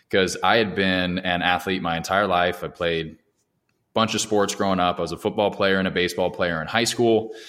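A man with a very deep, low voice talks at a moderate pace, keeping his intonation fairly even. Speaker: sales director and podcaster. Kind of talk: casual interview chat.

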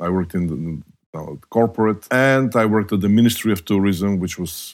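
A man with a Bulgarian accent, fairly quick in pace, with ordinary pitch variation. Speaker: hospitality technology professor. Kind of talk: interview.

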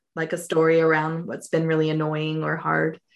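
In a General American accent, a woman with a very deep, low pitch talks at a moderate pace. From Colorado, US. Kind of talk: interview conversation. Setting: remote interview.

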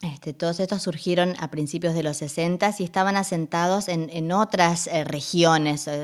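Her pitch is fairly low and her intonation fairly even. This woman keeps a moderate pace with hardly any pauses. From northern Argentina (Resistencia, Chaco). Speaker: radio journalist and presenter. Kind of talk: interview.

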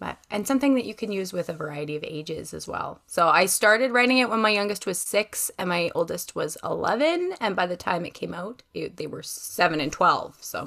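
A woman talks in a plain, everyday voice with a Canadian accent, at medium pitch and a fairly quick pace with hardly any pauses. Her loudness swings widely and her intonation is lively. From Western Canada. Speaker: author and homeschooling mother. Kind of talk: casual interview chat.

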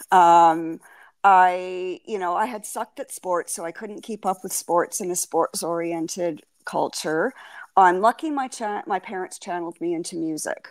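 A woman's normal speaking voice at a moderate pace, with big swings in loudness, dry and close with no echo, on a very clean recording with a silent background. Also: medium pitch for a woman, ordinary pitch variation. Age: 60s. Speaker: podcast guest. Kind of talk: interview.

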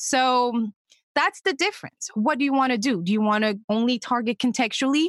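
A woman with a French accent speaks in a high pitch at a moderate pace, with very even loudness and a dry, close sound with no echo. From Senegal. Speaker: digital media manager. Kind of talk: interview. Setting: podcast.

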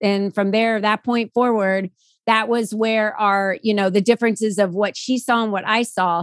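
Heard in a very clean recording with a silent background and a dry, close sound with no echo, a plain, everyday voice moves at a moderate pace with fairly even intonation. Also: woman. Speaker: podcast guest. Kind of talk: casual chat.

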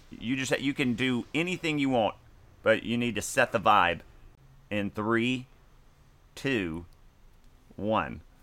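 A man's medium-pitched voice, bright and sharp in tone, at a fairly slow pace, in a very clean recording with a silent background. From US South (Mississippi). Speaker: podcast host. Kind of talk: casual chat.

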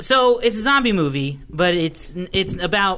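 A man speaks at a fairly slow pace with a bright, sharp tone and lively intonation. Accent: American. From Oklahoma, Tulsa. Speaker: podcast host, movie reviewer. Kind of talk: casual chat.

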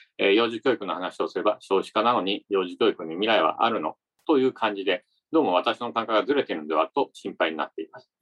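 A man talking at a very fast pace, with big swings in loudness. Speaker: podcast host interviewing company presidents. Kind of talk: interview and commentary. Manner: formal.

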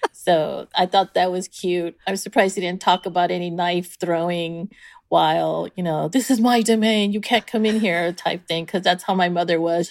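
A woman's normal speaking voice, fairly low in pitch, with an American accent, at a moderate pace with hardly any pauses, in a dry, close sound with no echo. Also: fairly even intonation, very clean recording, silent background. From San Diego, California. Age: 50s. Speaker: cooking school owner. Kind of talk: interview.

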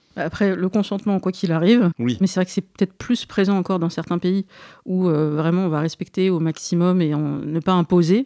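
On a very clean, dry, close recording with a silent background and no echo, a woman speaks at a fairly quick pace and fairly low pitch, her tone dark and mellow, with ordinary pitch variation. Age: 40s. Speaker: podcast host. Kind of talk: interview conversation.

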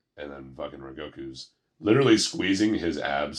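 This is a man speaking. His voice has vocal fry. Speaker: podcast co-host. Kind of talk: casual chat.

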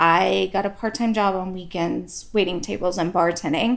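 A woman is speaking at a medium pitch. Her pitch variation is ordinary. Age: 40s. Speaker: podcast co-host. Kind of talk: casual chat.

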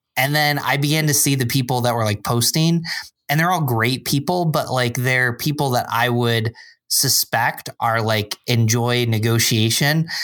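In a normal speaking voice, a man with an American accent and medium pitch talks at a moderate pace with ordinary pitch variation and very even loudness, on a very clean recording with a silent background. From upstate New York (Binghamton). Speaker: church adult ministries director. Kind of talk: casual chat.

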